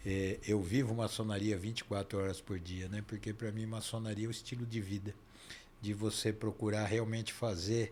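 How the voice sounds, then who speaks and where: A man speaks in a somewhat breathy voice. His intonation stays monotone and flat. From Brazil, São Paulo. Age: 60s. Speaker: dentist and Freemasonry leader. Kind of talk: interview conversation. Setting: podcast studio, live stream.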